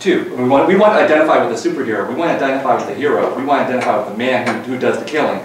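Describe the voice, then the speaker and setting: A man talking at a very fast clip, with audible room echo and light background noise. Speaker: lecturer. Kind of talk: lecture with class discussion. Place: classroom. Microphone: camera far.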